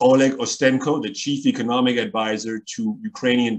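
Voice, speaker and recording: The background stays quiet while a man talks rather slowly. His pitch varies in an ordinary way. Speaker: event moderator. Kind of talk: formal introduction of a guest. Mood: formal, measured. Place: home room. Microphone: video call.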